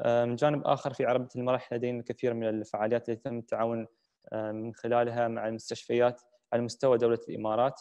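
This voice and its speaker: A man speaks at a fairly quick pace in a dark, mellow tone, his intonation monotone and flat, over a quiet background. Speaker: moderator. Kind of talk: moderated panel discussion. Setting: virtual session, video call. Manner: formal. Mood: calm, caring. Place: home room. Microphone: video call.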